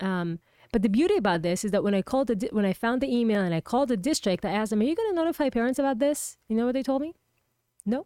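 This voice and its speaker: Very fast and with lively intonation, a woman with an Israeli accent speaks at a fairly high pitch in a dark, mellow tone, the sound dry and close with no echo. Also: very even loudness, very clean recording, silent background. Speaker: political candidate. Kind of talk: interview.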